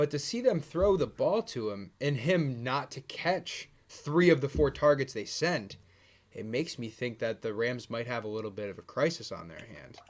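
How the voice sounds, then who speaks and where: An unremarkable speaking voice from a man, medium in pitch, moderate in pace, with lively intonation. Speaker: sports podcast co-host. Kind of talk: casual chat.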